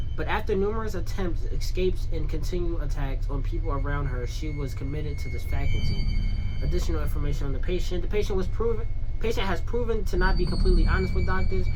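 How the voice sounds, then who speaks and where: A woman talks at a very fast pace. Music plays behind her and the room echo is audible. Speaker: gaming youtuber. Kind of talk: gameplay commentary while reading game text aloud. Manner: halting, repeats words.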